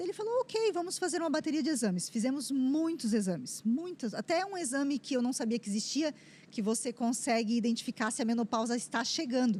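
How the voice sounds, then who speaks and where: Speaking at a fairly quick pace, a woman uses lively intonation in a high pitch. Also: hardly any pauses. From southern Brazil, Joinville. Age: 40s. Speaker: cancer survivor. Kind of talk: testimony.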